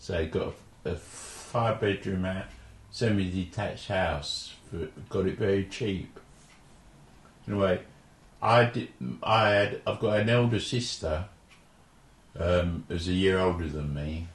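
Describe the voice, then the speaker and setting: A man speaks with a very deep, low pitch and a somewhat breathy voice. His pace is fairly slow, with ordinary pitch variation and long, frequent pauses. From London (Forest Gate), born in Jamaica. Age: 70s. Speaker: oral history interviewee. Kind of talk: oral history interview. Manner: halting, with false starts.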